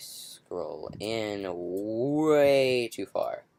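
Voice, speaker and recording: A man speaks quietly. His pitch varies in an ordinary way. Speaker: software tutorial maker. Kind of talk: tutorial. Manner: hesitant, humming to self.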